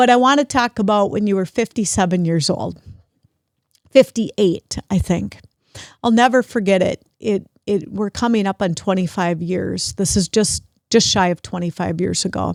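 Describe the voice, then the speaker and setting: A woman speaks in a plain, everyday voice at a medium pitch and a moderate pace, with ordinary pitch variation. The recording is very clean with a silent background and sounds dry and close, with no echo. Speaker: podcast host. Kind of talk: podcast interview conversation.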